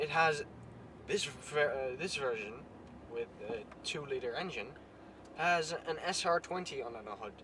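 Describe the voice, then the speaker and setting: A man's fairly high voice with lively intonation at a moderate pace, broken by long, frequent pauses, over noticeable background noise. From Netherlands. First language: Dutch. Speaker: car vlogger. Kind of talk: casual vlog. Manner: halting.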